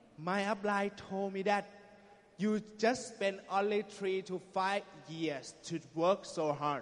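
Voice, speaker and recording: A man with a high pitch speaks very slowly, his intonation fairly even. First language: Thai (speaking Portuguese). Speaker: network marketing business speaker. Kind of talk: motivational talk with interpreter.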